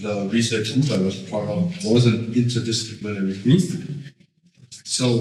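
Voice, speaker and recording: Against noticeable background noise and audible room echo, a man talks at a moderate pace and medium pitch. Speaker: sociologist. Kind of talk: lecture. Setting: stage with audience. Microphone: poor sound quality at the beginning.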